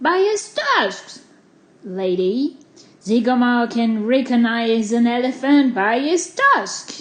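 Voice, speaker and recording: A woman uses a put-on character voice at a high pitch, with lively intonation and a very slow pace. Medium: read story. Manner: self-assured, boastful.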